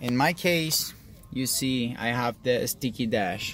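A man's medium-pitched voice with a non-native accent, very slow pace and ordinary pitch variation, dry with no echo, over background music. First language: not English. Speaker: car DIY hobbyist. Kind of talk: DIY car repair tutorial. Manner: casual, hesitant. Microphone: phone near.

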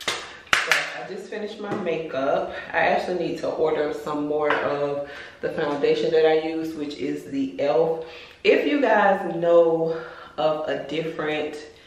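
A woman with a fairly low voice talks at a fairly slow pace and with fairly even intonation, and there is audible echo in the room. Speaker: lifestyle vlogger. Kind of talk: casual vlog chat. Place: bathroom. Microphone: phone near.

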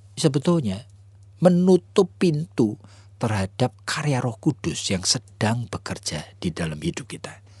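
Delivery comes at a fairly slow pace and sounds somewhat breathy. The pitch swings very widely. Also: man, dry, close sound with no echo. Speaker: pastor. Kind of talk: radio sermon.

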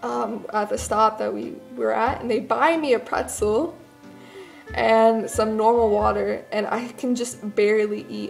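The speaker keeps a moderate pace while faint music plays in the background. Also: woman. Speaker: vlogger. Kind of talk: casual vlog chat. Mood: amused, self-deprecating. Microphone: phone near.

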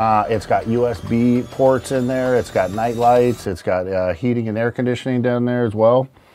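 A man talks at a moderate pace with fairly even intonation and hardly any pauses, over light background noise. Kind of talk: tour walkthrough explanation. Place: boat.

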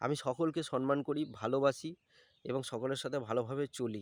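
In a dry, close, very clean recording with a silent background, a man talks in an ordinary speaking voice at medium pitch with ordinary pitch variation. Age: 30s. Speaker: vlogger. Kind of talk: personal vlog monologue.

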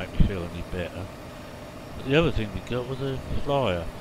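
There is noticeable background noise. Over it, a man speaks with lively intonation. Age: 60s. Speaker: gaming video creator. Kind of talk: let's play commentary. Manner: halting.

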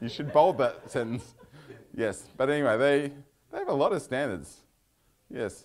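A man with an Australian accent speaks in a fairly high pitch with vocal fry against a quiet background. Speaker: software consultant giving a talk. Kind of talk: technical talk with live demo. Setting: meetup venue with live audience. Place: meeting room.

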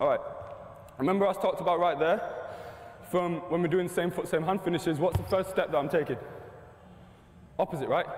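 A man's fairly high, slightly mellow voice at a fairly quick pace, with ordinary pitch variation and long, frequent pauses

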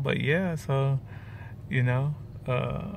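A man speaks over light background noise. The sound is dry with no echo. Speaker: vlogger. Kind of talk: casual vlog chat. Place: car. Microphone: phone near.

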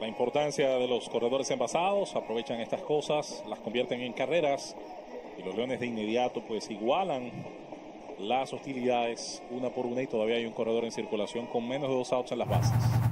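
A Dominican accent at a fairly quick pace, against noticeable background noise. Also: man, medium pitch for a man, ordinary pitch variation. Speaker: baseball color commentator. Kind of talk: sports commentary, analyst color commentary. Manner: fluent, explanatory.

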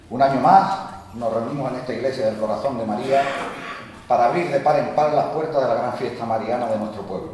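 A man with a medium pitch speaks at a fairly quick pace with ordinary pitch variation, over light background noise and strong room echo. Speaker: local councillor giving a speech. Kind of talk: formal speech. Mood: solemn, festive. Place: church. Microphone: podium.

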